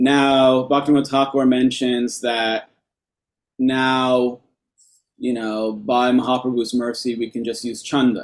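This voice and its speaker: With an American accent, a man at medium pitch speaks at a fairly slow pace in a monotone, flat intonation. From New York. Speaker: lecturer on temple worship. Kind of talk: lecture.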